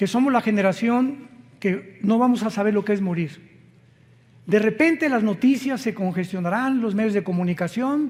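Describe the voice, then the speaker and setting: Pitch variation is ordinary. The delivery moves at a moderate pace. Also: man, high pitch for a man. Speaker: preacher. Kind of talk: sermon.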